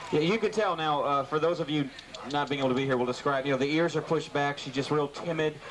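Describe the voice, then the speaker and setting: A man speaks very fast while noticeable background noise sits behind his words. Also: fairly high pitch for a man, fairly even intonation. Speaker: radio show co-host. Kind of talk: live radio broadcast banter.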